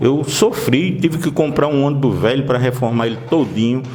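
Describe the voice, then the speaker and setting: Noticeable background noise and audible room echo accompany a man talking at a moderate pace with ordinary pitch variation. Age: 60s. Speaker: local politician. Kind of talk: interview.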